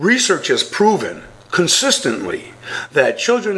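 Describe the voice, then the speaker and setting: Moderate pace against noticeable background noise. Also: man. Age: 60s. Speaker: bullying expert. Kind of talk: radio interview. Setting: radio show.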